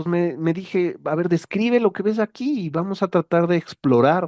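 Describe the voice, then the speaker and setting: A fairly high-pitched man at a moderate pace, with a dry, close sound with no echo and a quiet background. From Mexico. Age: 40s. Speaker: writer. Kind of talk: casual monologue. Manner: hesitant, many fillers.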